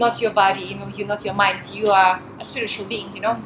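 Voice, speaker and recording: A woman with a Russian accent speaks at a medium pitch in a flat, monotone way, with noticeable background noise behind her. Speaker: volunteer minister. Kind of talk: interview. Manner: talkative.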